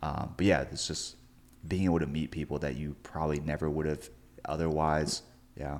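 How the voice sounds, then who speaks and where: A man's very deep, low pitch with vocal fry, in monotone, flat intonation at a moderate pace. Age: young. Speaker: podcast host. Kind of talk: interview conversation.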